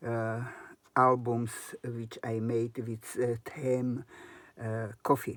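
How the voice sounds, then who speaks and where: In a non-native accent, a woman speaks at a very slow pace with a very deep, low pitch and monotone, flat intonation. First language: not English. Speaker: crafter. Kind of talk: tutorial. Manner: halting.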